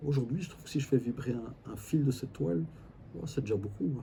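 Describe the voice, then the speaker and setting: A man's dark, mellow voice with vocal fry and very wide pitch swings, at a moderate pace. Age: 60s. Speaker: family constellation facilitator. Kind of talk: interview. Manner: hesitant, repeats words.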